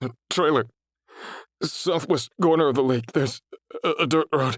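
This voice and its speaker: A put-on character voice from a man, raspy and fairly high-pitched, at a moderate pace with a dry, close sound and no echo. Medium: read story. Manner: stammering, pleading.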